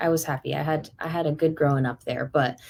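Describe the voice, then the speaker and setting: Speaking very fast with an American accent, a woman has a very deep, low pitch and fairly even intonation. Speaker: singer. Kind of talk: casual chat.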